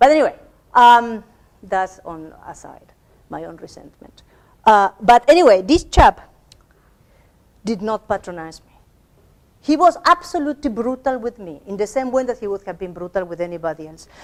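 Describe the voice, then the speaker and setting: A woman with a non-native accent at a fairly high pitch and moderate pace, with very wide pitch swings, big swings in loudness, long, frequent pauses, and a dry, close sound with no echo. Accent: noticeable non-native English. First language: not English. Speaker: academic lecturer. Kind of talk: workshop lecture. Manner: halting, many repetitions.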